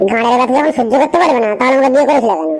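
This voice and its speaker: A cartoonish character voice from a woman, high-pitched and very fast, over loud background noise. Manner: bossy, sharp.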